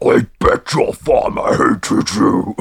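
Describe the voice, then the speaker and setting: A man's put-on character voice, raspy and guttural, shouting in a menacing tone at a fairly slow pace. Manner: menacing, shouting.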